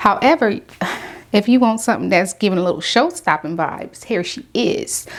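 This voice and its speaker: Fairly high-pitched woman's voice, animated in tone, with very wide pitch swings at a moderate pace over noticeable background noise. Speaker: beauty vlogger. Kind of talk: product review tutorial. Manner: casual, animated.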